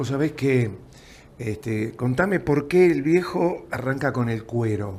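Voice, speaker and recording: Lively intonation at a very slow pace. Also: man, medium pitch for a man. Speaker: TV interviewer. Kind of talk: interview conversation.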